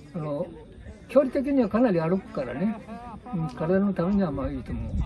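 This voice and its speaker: Fairly quick speech with very wide pitch swings over crowd noise in the background. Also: man, high pitch for a man. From Japan. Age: 80s+. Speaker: elderly ground golf player interviewed. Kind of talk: interview answer; casual talk. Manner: energetic.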